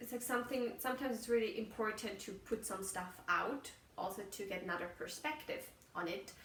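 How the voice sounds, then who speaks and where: A woman with a German accent speaks at a fairly quick pace with lively intonation. The room echo is audible, and there is noticeable background noise. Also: fairly high pitch for a woman. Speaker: podcaster. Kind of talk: casual monologue. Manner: halting, searching for words.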